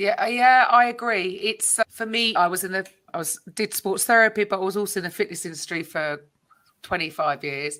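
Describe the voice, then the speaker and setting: In a British accent, a woman with a medium pitch and a bright, sharp tone speaks at a moderate pace with ordinary pitch variation on a very clean recording with a silent background. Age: 50s. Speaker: podcast host. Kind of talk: interview conversation.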